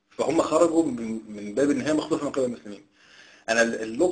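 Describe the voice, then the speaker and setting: A man talks at a very fast pace. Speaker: interviewer. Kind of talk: interview. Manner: casual.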